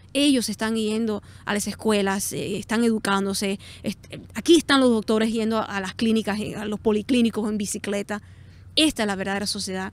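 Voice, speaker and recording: A woman talks at a fairly quick pace with fairly even intonation. Her pitch is fairly high. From South Florida, Cuban-American. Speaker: artist and political commentator. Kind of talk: interview answers, spontaneous monologue. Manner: hesitant, many fillers and restarts.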